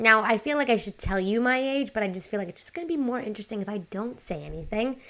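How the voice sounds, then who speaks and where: In a very clean recording with a silent background, a woman with a New York accent speaks in an animated tone at a fairly high pitch. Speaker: life coach and podcaster. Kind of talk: casual podcast monologue.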